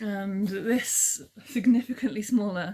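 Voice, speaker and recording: Quiet and somewhat breathy, a woman's voice with a dark, mellow tone moves at a very slow pace. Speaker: crafting vlogger. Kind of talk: casual vlog monologue. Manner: very quiet; rambling, hesitant with ums.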